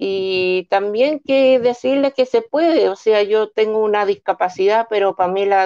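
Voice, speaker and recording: A woman talks at a moderate pace with hardly any pauses. The background is quiet. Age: 40s. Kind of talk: testimony. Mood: earnest, encouraging. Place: home room. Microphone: video call.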